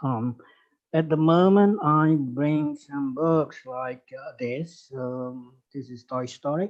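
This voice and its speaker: A man speaks very slowly in a fairly high pitch. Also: ordinary pitch variation. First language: Indonesian. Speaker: lecturer. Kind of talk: lecture. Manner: halting.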